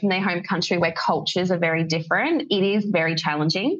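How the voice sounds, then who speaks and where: A woman is speaking. She has a General Australian accent. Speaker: English teacher. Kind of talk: podcast interview.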